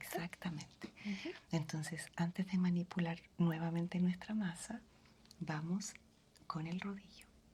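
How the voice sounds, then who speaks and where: The tone is dark, mellow and somewhat breathy. Intonation stays monotone and flat. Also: woman, fairly low pitch for a woman, fairly slow pace. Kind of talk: ASMR roleplay.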